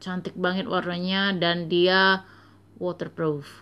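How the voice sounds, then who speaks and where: This is a woman speaking. Her pitch is fairly low. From Indonesia. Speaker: beauty vlogger; beauty reviewer. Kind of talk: product review; casual product review. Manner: halting. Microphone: phone near.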